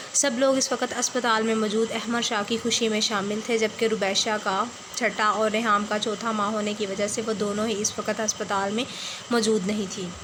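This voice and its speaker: A woman speaks at a moderate pace with noticeable background noise behind her. Her fairly high voice stays monotone and flat. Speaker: novel reader and writer. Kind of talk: reading aloud. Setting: closed room at home.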